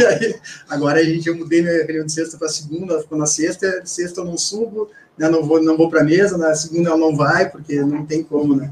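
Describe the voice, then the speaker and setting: A man with a high pitch talks at a very fast pace, his intonation fairly even. Noticeable background noise runs underneath. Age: 40s. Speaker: company CEO. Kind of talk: interview. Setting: radio studio.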